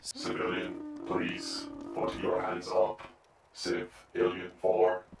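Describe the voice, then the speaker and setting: A raspy, put-on character voice from a man, very slow, with long, frequent pauses and strong echo. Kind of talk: game roleplay. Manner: stiff, formal.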